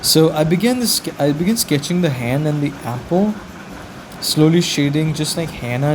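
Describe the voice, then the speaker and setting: A man with a non-native accent at a moderate pace, amid noticeable background noise and audible room echo. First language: not English. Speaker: beginner artist vlogger. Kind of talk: casual vlog narration. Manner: halting, self-correcting.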